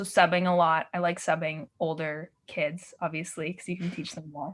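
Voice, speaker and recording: An ordinary speaking voice with a Canadian accent at a fairly quick pace, on a very clean recording with a silent background. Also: woman. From Yukon, northern Canada. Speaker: artist and dancer. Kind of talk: casual interview chat.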